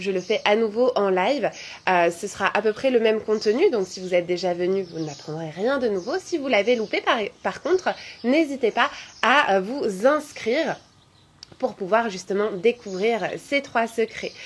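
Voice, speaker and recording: Lively intonation rides on a fairly slow delivery. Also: woman, fairly high pitch for a woman. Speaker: yoga teacher and physiotherapist; yoga teacher. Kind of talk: guided yoga class; reading out live chat comments. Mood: warm, cheerful. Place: garden. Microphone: phone near.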